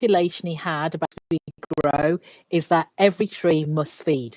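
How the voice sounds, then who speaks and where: A woman with an English accent speaks at a fairly slow pace and a fairly low pitch, with ordinary pitch variation. The sound is dry and close, with no echo. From England. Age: 60s. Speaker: executive coach. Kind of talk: casual chat.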